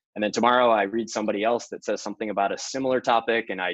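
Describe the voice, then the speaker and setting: A man's medium-pitched voice at a very fast pace, fairly even in intonation, with a dry, close sound and no echo. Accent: American. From US. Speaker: venture investor. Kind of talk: interview.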